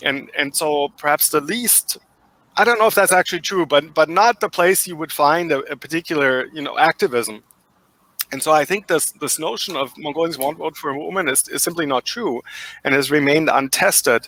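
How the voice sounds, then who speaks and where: A man with a German accent talks at a fairly quick pace, his fairly high pitch showing ordinary variation and his tone bright and sharp, in a dry, close sound with no echo. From Germany. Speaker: professor. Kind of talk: interview. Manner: halting.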